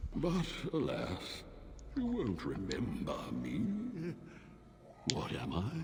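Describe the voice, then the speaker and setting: Using a put-on character voice, a man talks at a very slow pace with long, frequent pauses, with clear background noise behind him. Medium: video game. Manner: languid, condescending.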